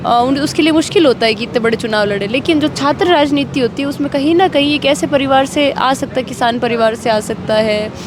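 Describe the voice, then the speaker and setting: A high-pitched woman's voice at a moderate pace, with ordinary pitch variation, hardly any pauses and noticeable background noise. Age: 20s. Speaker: student politician. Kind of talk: interview. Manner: hesitant with fillers.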